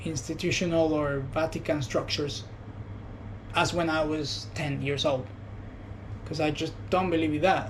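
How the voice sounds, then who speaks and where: A man's fairly high voice at a moderate pace, ordinary pitch variation, audible room echo. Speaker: vlogger. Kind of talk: personal reflection monologue. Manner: soft-spoken; halting.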